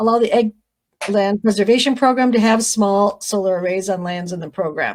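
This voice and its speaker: The speaker moves at a fairly quick pace. Pitch variation is ordinary. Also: woman, medium pitch for a woman. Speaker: county commissioner. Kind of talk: formal presentation of legislative priorities. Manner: fast.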